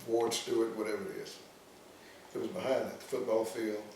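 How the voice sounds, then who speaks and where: There is noticeable background noise behind the speaker. He is a man with a Mississippi accent. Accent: Southern US (Mississippi). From Starkville, Mississippi. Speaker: retired army colonel. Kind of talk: oral history interview answer.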